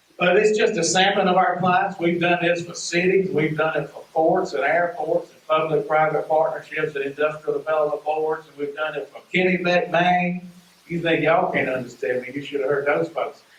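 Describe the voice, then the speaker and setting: A man with a strong Southern US accent speaks at a moderate pace and a high pitch, with fairly even intonation and hardly any pauses. His loudness swings widely over noticeable background noise. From US South, rural Mississippi. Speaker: economic development consultant. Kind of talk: presentation to community meeting.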